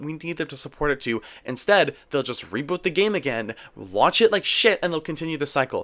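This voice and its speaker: A man talks at a fairly quick pace in a fairly high, animated voice with vocal fry. His pitch makes very wide swings. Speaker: gaming YouTuber. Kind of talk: video essay commentary. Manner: fast.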